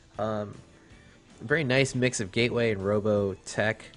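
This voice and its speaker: With music playing in the background, a man talks at a fairly slow pace. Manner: casual, improvised, with filler pauses.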